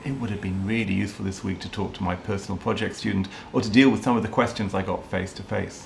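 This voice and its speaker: A man speaks very fast in a space with audible room echo and noticeable background noise. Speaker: teacher. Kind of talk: interview. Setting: video call.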